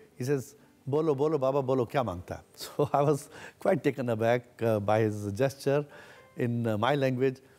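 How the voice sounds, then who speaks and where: A medium-pitched male voice at a moderate pace, with ordinary pitch variation and music in the background. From India (born in Sindh, raised in India after partition). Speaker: entrepreneur. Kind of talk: interview.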